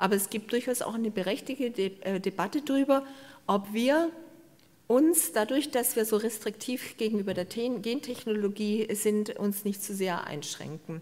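Using a normal speaking voice, a woman talks at a moderate pace with a fairly high pitch and ordinary pitch variation. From Swabian Alb, southern Germany; Baden-Württemberg, Germany. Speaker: biodiversity researcher and professor; professor. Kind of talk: lecture. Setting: stage with audience. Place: hall. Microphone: handheld.

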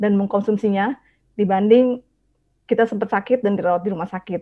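Against a quiet background, a woman talks at a medium pitch with fairly even intonation. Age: 40s. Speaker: nurse. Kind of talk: testimony. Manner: halting, frequent uh fillers. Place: home room. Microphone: earbuds.

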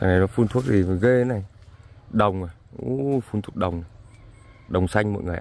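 A man's fairly low voice at a very fast clip, big swings in loudness, ordinary pitch variation, long and frequent pauses, and a dry sound with no echo. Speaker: farmer vlogger. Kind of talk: casual vlog walking tour. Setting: outdoors in fields. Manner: conversational, somewhat halting with fillers. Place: farm machine. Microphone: phone near.

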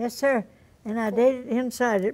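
Her fairly high pitch stays flat and monotone as the woman speaks at a fairly quick pace. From Ozarks. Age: 80s+. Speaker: fiddler. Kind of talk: interview answer. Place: studio.

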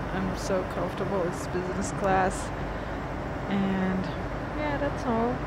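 Loud background noise surrounds a woman as she speaks. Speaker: travel vlogger. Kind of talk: casual vlog chat. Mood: nervous then relaxed. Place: plane. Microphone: earbuds.

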